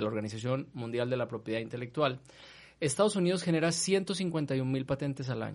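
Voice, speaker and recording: A man with an ordinary speaking voice, fairly high in pitch, at a fairly quick pace with ordinary pitch variation, against a quiet background. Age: 40s. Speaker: university rector. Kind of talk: casual chat.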